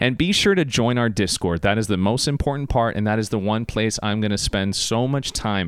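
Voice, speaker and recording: A man talks at medium pitch in an animated tone. His pace is fairly quick. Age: 30s. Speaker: podcast host and radio producer. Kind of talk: solo podcast monologue. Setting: home recording in bedroom.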